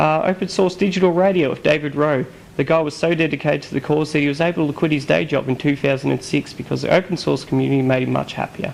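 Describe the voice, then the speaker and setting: With an Australian accent, a man talks very fast at a fairly high pitch and with fairly even intonation. Noticeable background noise is present. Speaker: video blogger reporting on a tech conference. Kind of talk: casual chat.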